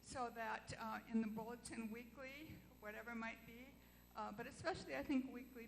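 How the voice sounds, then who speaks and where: The speaker goes at a fairly slow pace with monotone, flat intonation, and there is audible room echo. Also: woman. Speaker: church member. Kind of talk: question at congregational meeting. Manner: loud.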